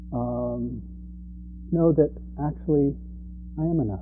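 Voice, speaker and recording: A man is speaking. His pitch is very deep and low. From Europe. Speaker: meditation teacher. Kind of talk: dharma talk. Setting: meditation center. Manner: halting.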